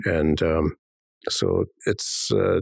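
The sound is dry and close, without echo. The voice belongs to a man. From British Columbia, Canada, Coast Salish First Nation. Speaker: elected First Nation chief. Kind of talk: interview. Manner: halting, many fillers.

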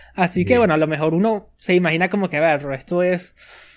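With a Venezuelan accent, a high-pitched man talks at a very fast pace with ordinary pitch variation, on a very clean recording with a silent background. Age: 20s. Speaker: podcaster. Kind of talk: casual chat.

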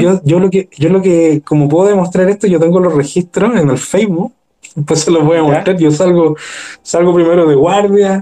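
With a Chilean accent, a man speaks in a high voice with a dark, mellow tone and ordinary pitch variation. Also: dry, close sound with no echo. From Chile, Maipú (Santiago). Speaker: guest with paranormal experiences. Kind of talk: casual chat.

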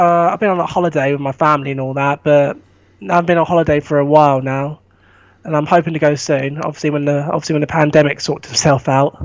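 A man rattles along at a very fast pace, his fairly high pitch held in a monotone, flat intonation. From England, East Sussex. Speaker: film fan. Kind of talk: casual chat. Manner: halting.

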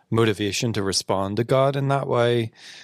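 Captured in a very clean recording with a silent background and a dry, close sound with no echo, a man speaks in a plain, everyday voice at a moderate pace with ordinary pitch variation. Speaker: podcast host and church discipleship director. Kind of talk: casual interview chat. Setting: studio.

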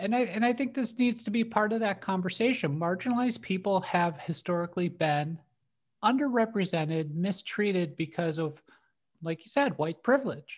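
A woman speaks at a moderate pace in a medium-pitched, somewhat breathy voice with lively intonation. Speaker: podcast co-host comedian. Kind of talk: casual chat.

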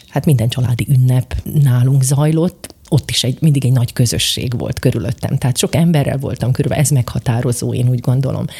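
Somewhat breathy and dark, mellow in tone, a woman speaks at a fairly quick pace with a very deep, low pitch. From eastern Slovakia (Bodrogköz). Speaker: teacher and robotics coach. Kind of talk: interview.

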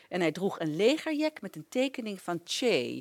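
A woman's medium-pitched voice with vocal fry and very wide pitch swings, at a moderate pace, in a very clean recording with a silent background. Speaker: radio presenter. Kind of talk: scripted narration.

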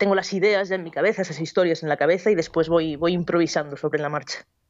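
A woman with an ordinary speaking voice talks at a fairly quick pace, her fairly low pitch carried on fairly even intonation. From Basque Country, Spain. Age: 20s. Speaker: novelist and cook. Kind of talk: radio interview. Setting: Skype call.

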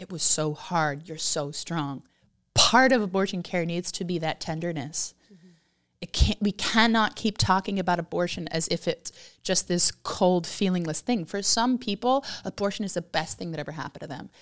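This very clean recording has a silent background and a dry, close sound with no echo. A woman with an unremarkable speaking voice talks at a fairly low pitch and a moderate pace, with ordinary pitch variation. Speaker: podcast host. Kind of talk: casual conversational interview.

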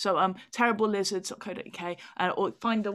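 A plain, everyday voice from a woman at a medium pitch, with fairly even intonation. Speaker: comedian and author. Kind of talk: casual interview chat.

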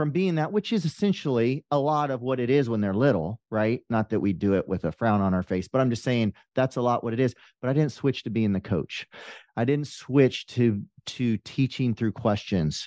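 Speaking at a moderate pace in a normal speaking voice, a man uses lively intonation at a medium pitch. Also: quiet background. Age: 50s. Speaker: life coach, former police officer. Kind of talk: interview.

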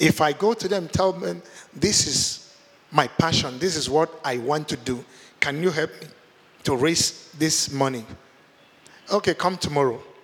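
A man's fairly high voice at a fairly slow pace, with ordinary pitch variation, long, frequent pauses, and noticeable background noise. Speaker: guest preacher. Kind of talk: sermon. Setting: church. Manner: restrained, not shouting.

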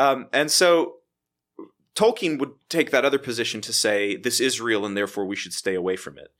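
A man speaks in a normal speaking voice with an American accent. His medium pitch carries lively intonation at a moderate pace. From Texas, Waco. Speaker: theology professor. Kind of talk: casual chat.

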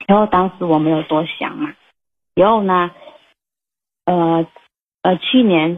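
At a very slow pace with long, frequent pauses, a woman speaks at a fairly low pitch and ordinary pitch variation. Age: 30s. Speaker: caller. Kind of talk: personal problem call-in. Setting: phone call. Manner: halting, hesitant.

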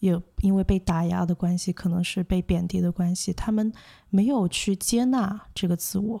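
A woman of medium pitch speaks at a moderate pace, somewhat breathy, in a dark, mellow tone, the recording very clean with a silent background and a dry, close sound with no echo. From Hong Kong and mainland China. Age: 20s. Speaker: social worker and counsellor. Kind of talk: interview. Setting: studio. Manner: halting, many fillers.

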